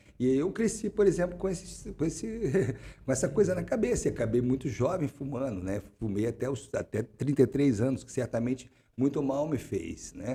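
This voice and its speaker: His medium-pitched voice somewhat breathy and dark and mellow in tone, a man speaks with very wide pitch swings. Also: moderate pace. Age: 60s. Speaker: political and social scientist, climate researcher. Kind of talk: interview. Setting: studio. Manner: halting, many repetitions.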